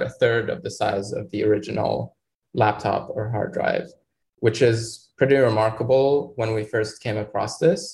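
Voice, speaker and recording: At a fairly slow pace, a man talks with a medium pitch and ordinary pitch variation. His voice is somewhat breathy. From Egypt. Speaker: microbiology graduate student. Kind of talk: interview explaining research.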